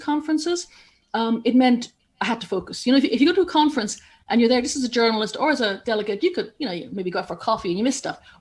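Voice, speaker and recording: Speaking at a very fast pace, a woman with an Irish accent uses lively intonation in a high voice. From Ireland. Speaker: journalist and broadcaster. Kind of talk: interview.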